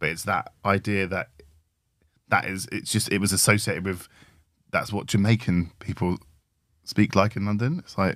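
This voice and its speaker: A man with a British accent and a fairly low pitch speaks in fairly even intonation with long, frequent pauses, recorded very cleanly against a silent background. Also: moderate pace. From Britain. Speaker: podcast co-host, tech design and research leader. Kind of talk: casual conversation.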